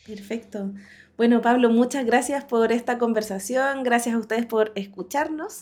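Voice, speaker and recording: Speaking at a moderate pace, a woman uses a plain, everyday voice with a fairly high pitch and fairly even intonation. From Chile, Coquimbo. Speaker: podcast host, agile coach. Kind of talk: interview podcast.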